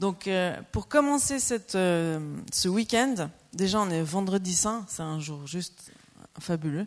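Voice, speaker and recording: A woman speaks very slowly at a medium pitch, her intonation lively. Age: 40s. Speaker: preacher. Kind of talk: sermon. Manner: animated.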